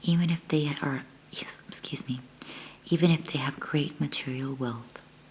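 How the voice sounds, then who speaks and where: The voice is whispering and soft-spoken. It moves at a fairly slow pace. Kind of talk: book reading aloud. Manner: soft-spoken, almost whispering.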